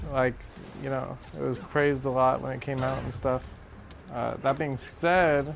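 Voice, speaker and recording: A man mumbles at a fairly slow pace with fairly even intonation and long, frequent pauses. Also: medium pitch for a man. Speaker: gaming streamer. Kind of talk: casual chat. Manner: mumbling; halting.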